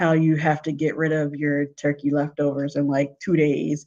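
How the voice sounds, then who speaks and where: A woman with an American accent speaks at a fairly slow pace in a monotone, flat intonation. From US Northeast, Philadelphia. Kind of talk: casual live stream chat. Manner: loud.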